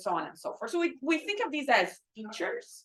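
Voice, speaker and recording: Very wide pitch swings run through this woman's speech. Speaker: robotics professor. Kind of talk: lecture. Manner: loud.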